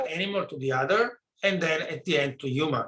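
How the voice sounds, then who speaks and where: A man's high-pitched voice, bright and sharp in tone, with lively intonation. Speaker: virology researcher giving talk. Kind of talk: lecture. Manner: halting; soft-spoken. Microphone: too quiet.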